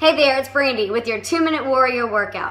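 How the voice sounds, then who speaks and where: Faint music plays behind a woman speaking with ordinary pitch variation. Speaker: fitness trainer. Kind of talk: casual vlog chat. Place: home room. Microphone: phone near.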